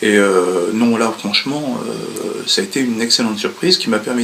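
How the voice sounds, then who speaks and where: Noticeable background noise sits beneath speech with ordinary pitch variation. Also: man. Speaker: hearing aid patient. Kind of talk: testimony. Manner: soft-spoken.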